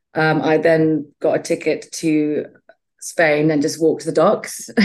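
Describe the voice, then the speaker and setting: A woman's very deep, low voice, fairly slow and monotone, with flat intonation. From Botswana. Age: 40s. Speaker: chef and business owner. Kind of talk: interview. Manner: hesitant, many fillers.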